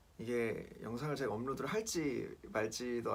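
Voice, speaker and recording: A man at a very slow pace, with audible room echo. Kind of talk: personal testimony vlog. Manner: casual, hesitant with fillers.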